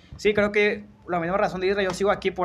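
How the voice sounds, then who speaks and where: A man speaks very fast in a high-pitched voice. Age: young. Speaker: podcast host. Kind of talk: casual chat.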